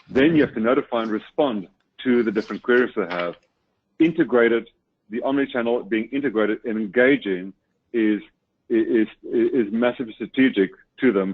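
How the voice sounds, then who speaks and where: In a South African accent, a man with a medium pitch talks at a fairly quick pace, with ordinary pitch variation and long, frequent pauses. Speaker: webinar speaker on customer service technology. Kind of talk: webinar presentation.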